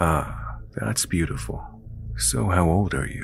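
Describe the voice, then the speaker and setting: Over clear background noise, a man puts on a character voice with a very deep, low pitch, very wide pitch swings and a fairly slow pace. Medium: read story. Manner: overfriendly, creepy.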